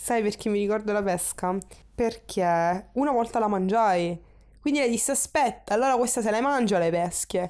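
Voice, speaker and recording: At a moderate pace, a woman talks at fairly high pitch with ordinary pitch variation and very even loudness, on a very clean recording with a silent background. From Sicily, Catania. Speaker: interviewee in documentary. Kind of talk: personal testimony. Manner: halting.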